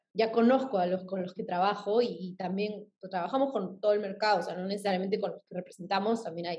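A woman's somewhat breathy voice. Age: 30s. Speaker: influencer marketing agency head. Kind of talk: podcast interview.

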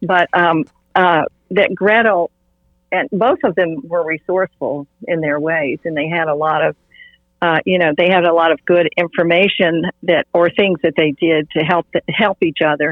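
At a moderate pace, a woman with a normal speaking voice talks in a fairly low pitch with ordinary pitch variation. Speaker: art therapist, host's mother. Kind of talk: casual interview discussion. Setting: virtual recording.

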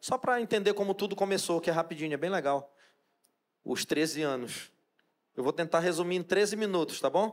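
Long, frequent pauses break up a man's high-pitched speech, which shows ordinary pitch variation. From Brazil, Pará (Amazon riverside, Santarém region). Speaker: chef and restaurant owner. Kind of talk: talk to a church audience.

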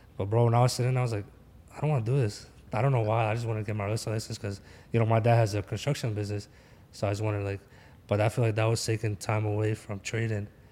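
A man with a Philadelphia accent talks at a very fast pace. His voice is fairly low in pitch with a dark, mellow tone. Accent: Philadelphia American English. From Philadelphia, US. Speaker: forex trader. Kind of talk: casual chat. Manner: animated.

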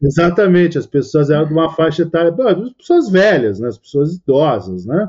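A man talks at a moderate pace with hardly any pauses, in an ordinary speaking voice. His pitch is fairly high and his intonation lively. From Brazil. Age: 40s. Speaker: poker commentator. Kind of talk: casual interview chat.

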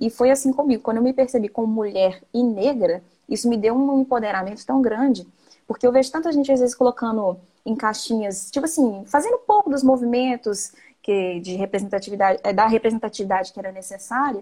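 A woman with a fairly high pitch and a dark, mellow tone speaks at a fairly quick pace. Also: ordinary pitch variation. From Minas Gerais, Brazil (Viçosa). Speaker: singer-songwriter. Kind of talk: casual chat.

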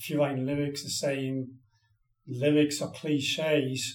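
Audible room echo surrounds a man with an English accent. His pitch is fairly high and his intonation monotone and flat. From northeast England. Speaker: songwriter and musician. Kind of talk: casual interview.

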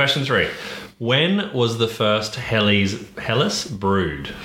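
A man with an Australian accent speaks very slowly at a medium pitch with lively intonation and very even loudness. Noticeable background noise and audible room echo are present. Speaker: podcast co-host. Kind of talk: casual chat.

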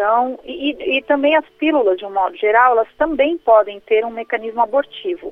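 A woman's high pitch with lively intonation, moderate pace and hardly any pauses. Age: 30s. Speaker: pro-life educator and speaker. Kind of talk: radio interview.

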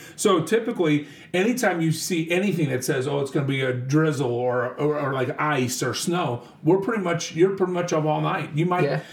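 A man's fairly high voice at a fairly quick pace, animated in tone, with hardly any pauses and noticeable background noise. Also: ordinary pitch variation. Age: 40s. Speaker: school district superintendent. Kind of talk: casual interview.

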